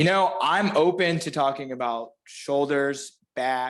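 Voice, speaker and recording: Lively intonation marks this man's speech in a Florida panhandle accent. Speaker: chiropractor. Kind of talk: casual chat.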